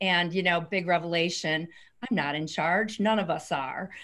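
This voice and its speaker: Against a quiet background, a woman speaks with a Californian accent and ordinary pitch variation. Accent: Californian American. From San Francisco Bay Area. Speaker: author. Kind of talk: interview. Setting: video call. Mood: warm, reflective. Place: office. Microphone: video call.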